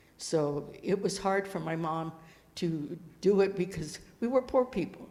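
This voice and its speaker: A woman speaks with an American accent in a fairly low voice with ordinary pitch variation. Room echo can be heard. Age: 80s+. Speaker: Native elder. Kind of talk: land acknowledgment talk. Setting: stage with audience. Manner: halting.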